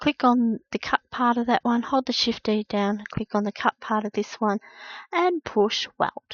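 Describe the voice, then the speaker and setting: A woman talks at a fairly slow pace with a fairly high pitch. It is an ordinary speaking voice with ordinary pitch variation. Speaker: craft tutorial maker. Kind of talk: tutorial.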